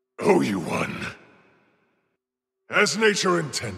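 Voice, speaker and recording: A man in a raspy, put-on character voice at medium pitch moves at a fairly slow pace with very wide pitch swings. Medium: video game. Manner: forceful, aggressive battle shouts.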